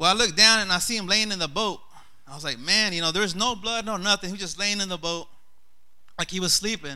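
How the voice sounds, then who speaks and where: Very fast and high-pitched, a man projects a raised voice with a bright, sharp tone and ordinary pitch variation, on a very clean recording with a silent background. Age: 30s. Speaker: lay preacher. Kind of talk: sermon.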